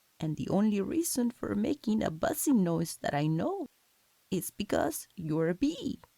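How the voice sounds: Reading voice, natural in delivery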